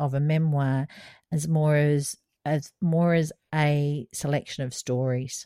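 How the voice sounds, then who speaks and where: A woman's very deep, low voice with an Australian accent, at a very slow pace, dry and close with no echo. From Australia (South Australia). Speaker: podcast co-host. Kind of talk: casual chat.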